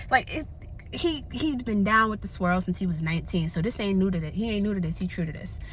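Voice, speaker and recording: Somewhat breathy and animated, a woman at a medium pitch uses lively intonation. She talks at a very fast pace, with audible room echo. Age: 30s. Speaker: vlogger. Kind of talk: casual chat.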